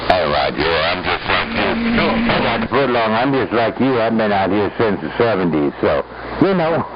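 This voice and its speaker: Music in the background behind a man at a medium pitch and moderate pace, his pitch swinging very widely. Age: 70s. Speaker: CB radio operator. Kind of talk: CB radio chat. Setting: CB radio transmission.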